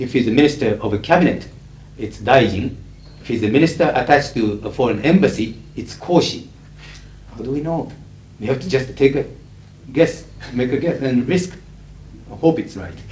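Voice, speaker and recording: A man talks at a fairly quick pace, broken by long, frequent pauses. His loudness swings widely, and room echo is audible. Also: medium pitch for a man, ordinary pitch variation. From Japan. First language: Japanese. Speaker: conference interpreter. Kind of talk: lecture Q&A. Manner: articulate, neutral professional English.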